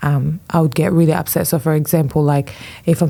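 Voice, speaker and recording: Speaking at a fairly quick pace with a non-native accent, a woman has a dark, mellow tone and fairly even intonation. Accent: foreign. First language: not English. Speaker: fashion influencer. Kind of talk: podcast interview. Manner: hesitant, many fillers.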